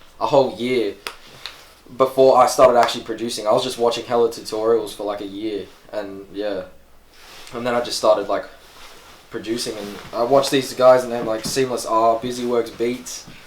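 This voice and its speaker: A man of medium pitch talks at a fairly quick pace with fairly even intonation, big swings in loudness and long, frequent pauses. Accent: Australian. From Australia. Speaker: rapper and producer. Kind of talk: casual interview. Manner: casual, filler-heavy.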